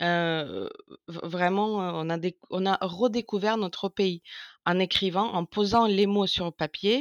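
A woman speaks in a Russian accent at a medium pitch. Her pace is very slow, and the sound is dry and close with no echo. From Ukraine. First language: Russian (speaking French). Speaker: co-author of a war diary. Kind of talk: interview. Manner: halting.

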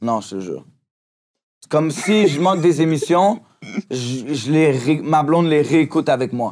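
Lively intonation marks this voice with a Quebec accent, delivered at a fairly slow pace with long, frequent pauses. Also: man, fairly high pitch for a man, very clean recording, silent background. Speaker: rapper. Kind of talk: casual chat.

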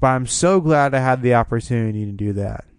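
This is a man with an ordinary speaking voice. He talks at a fairly quick pace. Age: 20s. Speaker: music podcast host and songwriter. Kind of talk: solo podcast monologue. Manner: fast.

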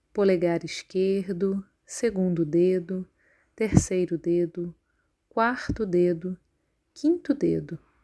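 Very slow and calm, a woman at medium pitch speaks in a dark, mellow, soothing tone with ordinary pitch variation and long, frequent pauses, on a very clean, dry, close recording with a silent background and no echo. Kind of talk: guided meditation (yoga nidra). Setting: recorded audio for listening while lying down. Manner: slow, calm, soothing, with long pauses between instructions.

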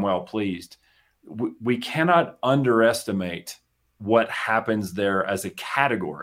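With an American accent, a man talks in a plain, everyday voice at a fairly low pitch, recorded very cleanly against a silent background. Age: 50s. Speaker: business coach. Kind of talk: casual chat. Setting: studio.

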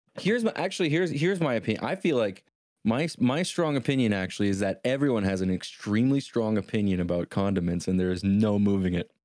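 A man's fairly low voice, very fast and lively in intonation, over background music. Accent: Canadian. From Canada. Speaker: podcast co-host.

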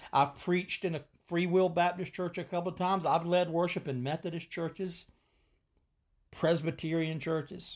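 On a very clean recording with a silent background, a man speaks at a moderate pace. His high voice stays monotone and flat. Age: 50s. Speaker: podcast host and preacher. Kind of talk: solo podcast monologue.

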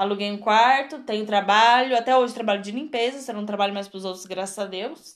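The pitch varies in an ordinary way as the words come at a moderate speed. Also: woman. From Brazil, Rio Grande do Sul (Torres). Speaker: podcast co-host. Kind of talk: casual chat. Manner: loud barking laugh.

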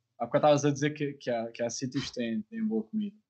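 Man with a fairly high pitch. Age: 20s. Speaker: podcast host. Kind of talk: casual interview. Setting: live stream video call.

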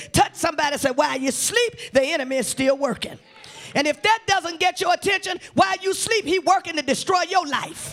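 Over noticeable background noise, a man speaks in an animated tone at a fairly quick pace, with lively intonation and an extremely high pitch. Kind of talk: sermon. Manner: animated, call-and-response preaching, urging the congregation to repeat after her; emphatic, building intensity with repeated words and exhortations.

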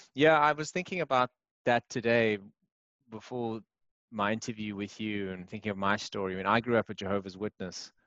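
Here is a man with an ordinary speaking voice, fairly low in pitch, with ordinary pitch variation. He talks at a fairly quick pace in a dry, close sound with no echo. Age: 40s. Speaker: podcast host and part-time actor. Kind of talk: casual interview. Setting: remote call.

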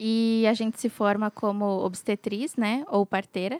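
A woman's ordinary speaking voice at a fairly high pitch, fairly even intonation, fairly slow pace, and a dry, close sound with no echo. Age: 20s. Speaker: midwife. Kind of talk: casual chat.

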